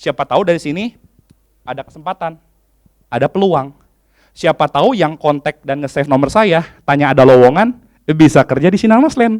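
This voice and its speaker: An animated man speaks fairly quickly in a fairly high voice with very wide pitch swings, captured with a dry, close sound and no echo. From Indonesia, Bandung (West Java). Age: 30s. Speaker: HR executive and conference speaker. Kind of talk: conference talk.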